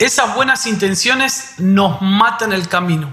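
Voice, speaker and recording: A man's raised, projected voice at an extremely high pitch, with ordinary pitch variation, audible room echo and noticeable background noise. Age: 30s. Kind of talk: devotional conversation.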